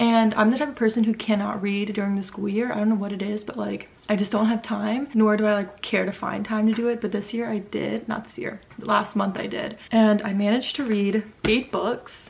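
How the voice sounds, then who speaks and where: Noticeable background noise sits behind a woman's voice. She talks at a fairly quick pace with monotone, flat intonation. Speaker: book youtuber. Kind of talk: casual book review vlog. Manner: casual, filler-heavy (like).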